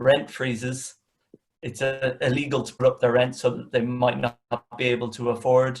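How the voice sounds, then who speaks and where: Speaking with an Irish accent, a man's somewhat breathy, medium-pitched voice holds a monotone, flat intonation at a moderate pace while showing big swings in loudness. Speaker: communications manager, panel speaker. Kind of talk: webinar panel discussion. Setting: video call. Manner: hesitant, many fillers.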